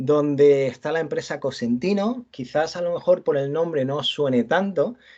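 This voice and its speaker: A man at a moderate pace with ordinary pitch variation, set against a quiet background. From Andalusia, Almería. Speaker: university lecturer. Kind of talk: lecture. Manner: halting, many repetitions and fillers.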